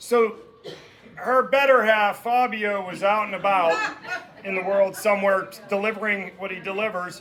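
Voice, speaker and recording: Loud and high-pitched, a man speaks at a fairly slow pace with fairly even intonation over noticeable background noise. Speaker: boss of the birthday woman giving a toast. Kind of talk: birthday roast speech. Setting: party with audience, no microphone. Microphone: no microphone.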